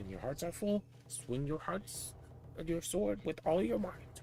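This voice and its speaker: Over clear background noise, a man puts on a character voice, fairly high-pitched and fairly slow. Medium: game stream. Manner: boastful, grand.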